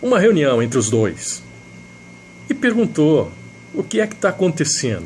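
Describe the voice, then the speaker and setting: A man's voice with very wide pitch swings over noticeable background noise. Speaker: radio announcer. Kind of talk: radio storytelling with a moral.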